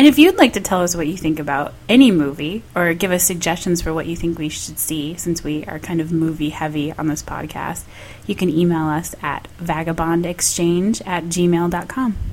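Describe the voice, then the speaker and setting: There is noticeable background noise behind a woman speaking with an American accent. Her pitch is fairly low, her pace moderate, and her pitch variation ordinary. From US North, Michigan. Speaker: podcast co-host. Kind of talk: casual chat. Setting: home dining room.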